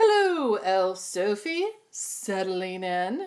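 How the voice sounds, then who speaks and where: Very slowly, a woman speaks. Her put-on character voice sits at a medium pitch. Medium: read story. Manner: fussy, fretful.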